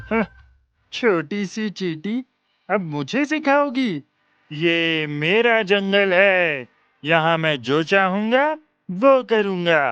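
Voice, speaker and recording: A cartoonish character voice at a middle pitch moves along at a very slow pace. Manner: boastful, mocking.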